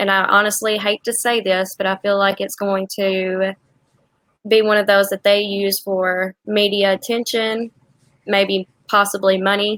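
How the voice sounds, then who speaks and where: A woman at a medium pitch talks fairly slowly in a flat monotone, the sound dry and close with no echo. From Tennessee. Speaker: true crime YouTuber. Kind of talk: casual livestream chat. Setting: livestream video call.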